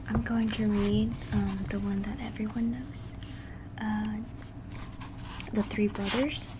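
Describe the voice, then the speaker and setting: Through noticeable background noise, the soft-spoken voice moves at a very slow pace with long, frequent pauses. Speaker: ASMR creator. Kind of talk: casual talk to camera.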